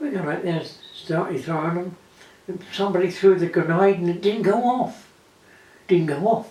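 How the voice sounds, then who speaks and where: Noticeable background noise surrounds a man with a high pitch and ordinary pitch variation. He keeps a moderate pace, broken by long, frequent pauses. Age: 80s+. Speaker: war veteran. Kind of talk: interview answer.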